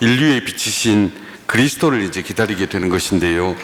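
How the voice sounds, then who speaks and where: With noticeable noise behind him, a man talks at a moderate pace and his pitch swings very widely. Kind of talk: lecture.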